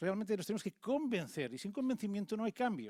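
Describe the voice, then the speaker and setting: The recording is very clean, with a silent background. The speech is very fast, and the pitch swings very widely. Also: man. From Catalonia, Tarragona. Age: 50s. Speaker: conference speaker, former local official. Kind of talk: conference talk. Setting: stage with audience.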